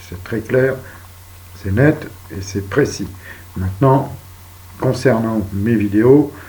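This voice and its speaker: Soft-spoken and somewhat breathy, a man with a fairly low pitch talks in a calm tone at a fairly slow pace with ordinary pitch variation, with audible room echo around him. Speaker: video blogger. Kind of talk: monologue.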